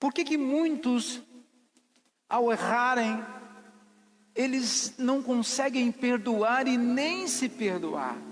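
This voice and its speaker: This man's voice sits at an extremely high pitch, with ordinary pitch variation and very even loudness. He talks at a very slow pace, with long, frequent pauses. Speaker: pastor. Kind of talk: sermon. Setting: church. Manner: calm.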